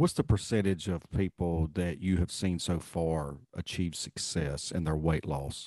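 A man with an American accent speaks at a very deep, low pitch, with hardly any pauses. The background is quiet. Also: fairly slow pace. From US South, North Carolina. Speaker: podcast host, retired law enforcement.

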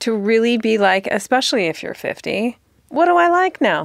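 On a very clean recording with a silent background, a woman talks at a moderate pace, her fairly high pitch swinging very widely. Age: 40s. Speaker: podcast host. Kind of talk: casual chat.

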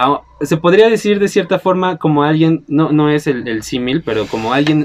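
A man talks at a fairly quick pace with a fairly high voice and very wide pitch swings. Noticeable background noise runs underneath. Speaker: film podcast host. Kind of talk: casual chat.

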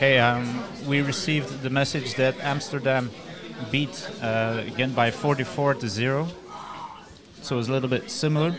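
Over music in the background and audible room echo, a man with a medium pitch and a Dutch accent speaks in a fairly even intonation, leaving long, frequent pauses. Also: moderate pace. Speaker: sports podcast host. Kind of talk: post-game interview. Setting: stadium.

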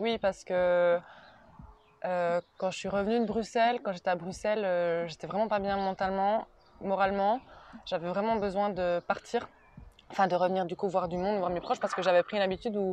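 A woman's medium-pitched voice at a moderate pace, with fairly even intonation and long, frequent pauses. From Switzerland, Neuchâtel. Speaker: former student, speech therapy trainee. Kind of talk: interview. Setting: outdoors on a terrace.

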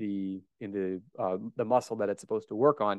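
A man is speaking. His pace is fairly quick. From US Midwest, Omaha, Nebraska. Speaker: strength coach and author. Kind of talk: casual interview chat.

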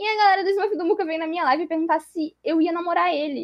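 Speaking at a very fast pace, a woman's voice sits at an extremely high pitch. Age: 20s. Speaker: streamer and computer science student. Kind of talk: casual interview chat.

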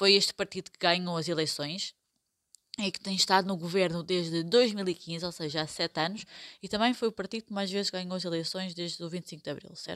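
A woman with an unremarkable speaking voice talks at a fairly quick pace in a medium pitch with fairly even intonation. The recording is very clean with a silent background, dry and close with no echo. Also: big swings in loudness. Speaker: podcast host, Portuguese teacher. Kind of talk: educational podcast chat.

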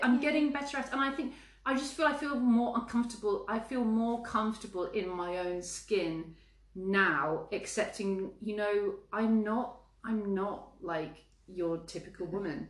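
A woman's fairly high voice with lively intonation at a moderate pace, with audible room echo. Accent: English. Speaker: podcast co-host. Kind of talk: casual chat.

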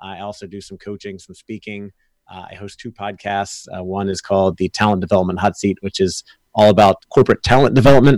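In a very clean, dry, close recording with no echo and a silent background, a man with an ordinary speaking voice talks at a fairly quick pace and fairly low pitch, with fairly even intonation and big swings in loudness. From Florida. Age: 30s. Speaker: sales consultant and podcast host. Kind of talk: casual interview.

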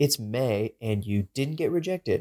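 An ordinary speaking voice moves at a moderate pace with ordinary pitch variation. The sound is dry and close with no echo, in a very clean recording with a silent background. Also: man. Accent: American. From Texas. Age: 20s. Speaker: podcast co-host, campus ministry intern. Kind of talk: casual chat.

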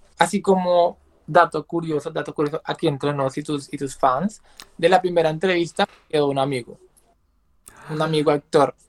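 A man with a fairly high pitch talks at a moderate pace, the sound dry and close with no echo. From Colombia, San Andrés islands. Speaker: content creator. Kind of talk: casual chat. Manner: animated.

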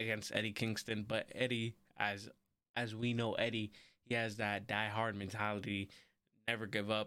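A man speaks quietly at a moderate pace, his pitch sitting in the medium range. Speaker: wrestling podcast host. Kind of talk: solo podcast review. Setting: home recording with camera and mic. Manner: quiet, subdued; casual, rambling.

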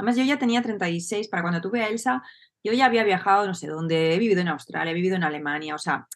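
An ordinary speaking voice from a woman at medium pitch, with lively intonation and a fairly quick pace. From Spain, Barcelona. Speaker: entrepreneur and business coach. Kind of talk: casual interview chat.

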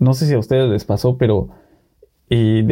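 A man speaks at a fairly quick pace and a medium pitch. His tone is dark and mellow, with fairly even intonation. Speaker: podcast co-host. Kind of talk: casual chat.

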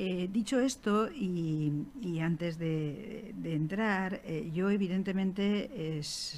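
The tone is dark and mellow. This woman's intonation is lively. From Alicante, Spain. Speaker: archaeologist and historian. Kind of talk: talk to school students.

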